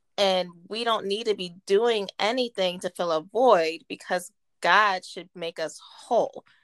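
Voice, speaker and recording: In a very clean recording with a silent background and a dry, close sound with no echo, a woman with an ordinary speaking voice talks at a fairly slow pace in a medium pitch with ordinary pitch variation. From West Virginia (Martinsburg). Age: 30s. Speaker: guest speaking on faith. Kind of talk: casual chat with faith teaching.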